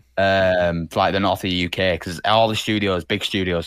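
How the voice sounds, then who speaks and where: Speaking at a moderate pace with a Yorkshire accent, a man talks in a very deep, low pitch with monotone, flat intonation on a very clean recording with a silent background. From northern England, Leeds. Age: 20s. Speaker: animator and thumbnail artist. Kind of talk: casual chat.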